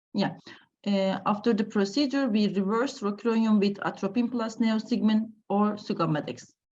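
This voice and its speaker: Somewhat breathy and very even in loudness, a woman talks at a fairly high pitch with ordinary pitch variation. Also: fairly slow pace. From Turkey. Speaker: anesthesiologist. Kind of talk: lecture. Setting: video call. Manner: halting.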